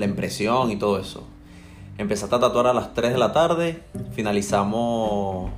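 Lively intonation colors a man's fairly low-pitched voice, with audible room echo around it. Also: moderate pace. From Venezuela, Maracaibo. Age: 30s. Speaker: tattoo client, raffle winner. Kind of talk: casual interview.

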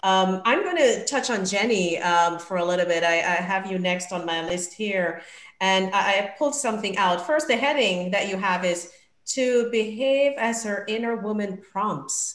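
A woman's medium-pitched voice, an unremarkable speaking voice, with ordinary pitch variation at a moderate pace. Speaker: podcast host. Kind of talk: interview panel discussion.

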